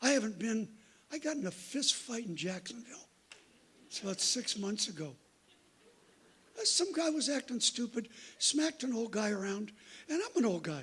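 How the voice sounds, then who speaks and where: This man's pitch is extremely high. His intonation is lively and his pace moderate. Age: 70s. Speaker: guest preacher. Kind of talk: sermon. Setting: church. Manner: animated.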